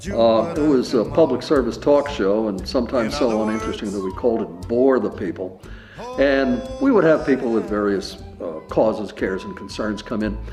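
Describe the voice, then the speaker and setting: The speech has a lively, bouncing intonation. Music plays in the background. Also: man, medium pitch for a man, moderate pace. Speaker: former TV talk show host. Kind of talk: memorial reminiscence.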